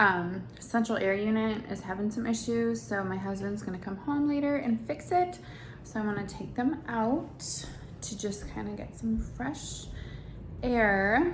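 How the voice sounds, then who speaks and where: A woman with an American accent speaks fairly slowly, with noticeable background noise and audible room echo. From Wisconsin, US Midwest. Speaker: family vlogger. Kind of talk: casual vlog talk.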